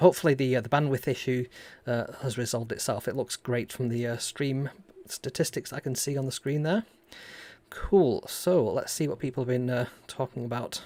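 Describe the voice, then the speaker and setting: In a northern English accent, a man speaks with a dark, mellow tone at a medium pitch. His pace is moderate and his pitch varies in an ordinary way. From northern England. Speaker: robotics maker and YouTuber. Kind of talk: live stream tutorial chat. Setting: live stream. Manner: casual, with frequent fillers.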